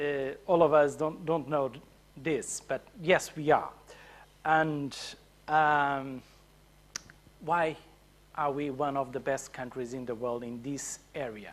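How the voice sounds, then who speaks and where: A man's fairly high voice at a very slow pace, fairly even in intonation, with long, frequent pauses. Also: big swings in loudness. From Portugal. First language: Portuguese. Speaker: conference speaker. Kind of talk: conference talk. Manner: halting, many fillers.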